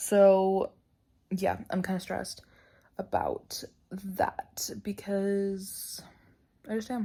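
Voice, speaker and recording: Soft-spoken and somewhat breathy, a woman with a medium-pitched voice and a dark, mellow tone talks at a very slow pace in a monotone, flat intonation, with long, frequent pauses. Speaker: book vlogger. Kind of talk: casual vlog talk. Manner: rambling with many fillers.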